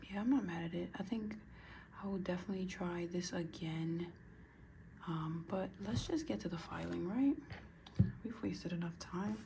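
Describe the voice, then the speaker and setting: Whispering with vocal fry, a woman speaks at a moderate pace with long, frequent pauses and audible room echo. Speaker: nail art youtuber. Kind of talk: casual tutorial vlog. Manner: hesitant, filler-heavy.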